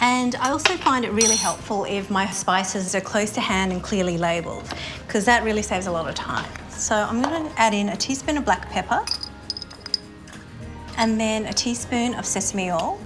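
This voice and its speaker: Music plays in the background as a woman with an Australian accent talks at a moderate pace. Her pitch is fairly high, with ordinary variation. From Sydney, Australia. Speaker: food blogger. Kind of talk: casual talk to camera.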